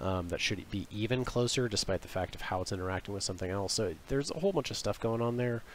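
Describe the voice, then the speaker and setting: Speaking very fast with hardly any pauses, a man uses a fairly low pitch and ordinary pitch variation. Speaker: illustrator. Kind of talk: tutorial. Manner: hesitant, many fillers.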